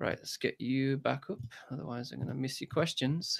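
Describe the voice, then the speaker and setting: The voice has a bright, sharp tone with vocal fry. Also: man. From English Midlands. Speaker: guitar teacher and YouTuber. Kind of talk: live stream chat. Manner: mumbling.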